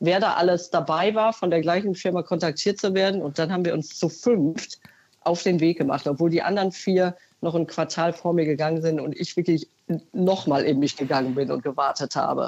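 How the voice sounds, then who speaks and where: A woman with an unremarkable speaking voice talks at a fairly quick pace. Her pitch is fairly low, with ordinary pitch variation. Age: 50s. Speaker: caller, consumer research employee. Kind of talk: phone-in testimony. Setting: phone call.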